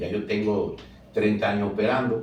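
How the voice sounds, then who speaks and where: Audible room echo surrounds a man's somewhat breathy, fairly low voice. He keeps a moderate pace and fairly even intonation. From Dominican Republic, San Pedro de Macorís. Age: 60s. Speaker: plastic surgeon. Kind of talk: interview.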